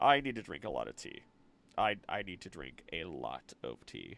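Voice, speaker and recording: A man is speaking. Music plays in the background. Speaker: streamer and voice actor. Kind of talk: casual chat. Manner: casual, rambling livestream talk.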